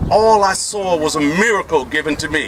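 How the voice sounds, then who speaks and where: A man speaks with ordinary pitch variation. Crowd noise can be heard in the background. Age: 60s. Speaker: education professor and activist speaker. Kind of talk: community meeting speech. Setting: community meeting with audience. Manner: animated.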